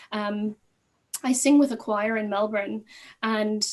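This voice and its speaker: The speaker talks with an Irish accent. The pace is moderate. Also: woman. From Ireland. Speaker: court associate, former teacher. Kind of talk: panel discussion.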